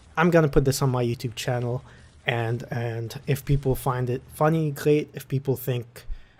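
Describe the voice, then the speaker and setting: In a dark, mellow, somewhat breathy tone, a man speaks at a moderate pace in a medium pitch with fairly even intonation. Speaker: podcast host. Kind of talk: casual monologue. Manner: halting; easy-going.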